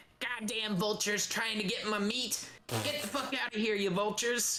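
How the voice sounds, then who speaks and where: A shouted, put-on character voice at a fairly high pitch and a moderate pace. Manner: angry, shouting, cursing.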